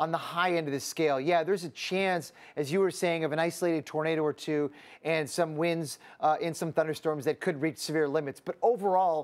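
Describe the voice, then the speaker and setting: The pace is fairly quick for this man. He keeps a fairly even intonation. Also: quiet background. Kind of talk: weather forecast commentary. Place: studio. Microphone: lapel.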